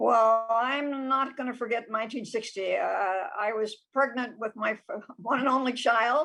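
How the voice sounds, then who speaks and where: At a moderate pace, a woman speaks in a high pitch with fairly even intonation. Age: 90s. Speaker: retirement community resident. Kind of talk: interview.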